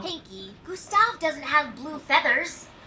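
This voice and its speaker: A female-sounding cartoonish character voice goes fairly slow at an extremely high pitch. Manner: reasoned, easily exasperated.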